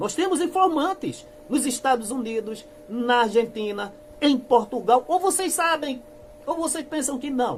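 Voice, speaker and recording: Speaking at a fairly slow pace with lively intonation, a man with an extremely high pitch is heard over noticeable background noise. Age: 60s. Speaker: church critic youtuber. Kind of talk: denunciation monologue. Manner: impassioned.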